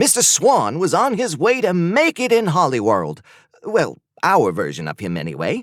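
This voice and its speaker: Doing a put-on character voice, a man sounds whiny and raised, projecting at a moderate pace, with a dry, close sound and no echo. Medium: read story. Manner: glib, fast-talking.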